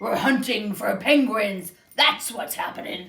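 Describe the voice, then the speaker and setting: A put-on character voice growls at a fairly high pitch, gruff and raspy. The pace is fairly slow. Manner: gruff, menacing.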